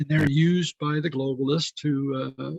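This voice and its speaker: A man with an American accent speaks fairly slowly at a fairly high pitch, somewhat breathy. His intonation is fairly even, and the sound is dry and close with no echo. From Texas, San Antonio. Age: 60s. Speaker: political candidate. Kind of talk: interview.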